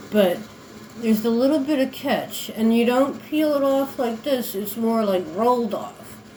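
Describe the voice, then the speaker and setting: A woman with a fairly high pitch talks at a fairly slow pace, with audible room echo and noticeable background noise. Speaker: beauty vlogger. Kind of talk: casual tutorial. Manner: casual, meandering.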